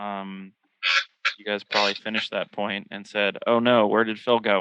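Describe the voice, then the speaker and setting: The delivery has a moderate pace and flat, monotone intonation. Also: man, fairly low pitch for a man. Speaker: podcast host. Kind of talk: casual chat. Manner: loud. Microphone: bad connection, dropped out.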